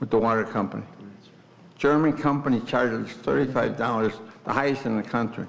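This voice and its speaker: With vocal fry and a medium pitch, a man speaks at a fairly quick pace with ordinary pitch variation, long and frequent pauses, and audible room echo. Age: 80s+. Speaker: resident giving public comment. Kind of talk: public comment at council meeting. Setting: village board meeting room. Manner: insistent, interrupting.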